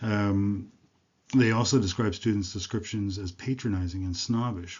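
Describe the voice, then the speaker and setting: A man's fairly low, somewhat breathy voice with an American accent, fairly quick pace and fairly even intonation. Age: 60s. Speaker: university lecturer. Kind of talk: lecture. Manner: halting, many fillers.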